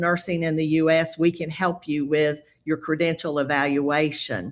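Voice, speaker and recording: A woman talks at a fairly slow pace with a Southern US accent. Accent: quite a Southern US. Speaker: nurse, credential evaluation specialist. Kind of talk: webinar presentation. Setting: video call webinar.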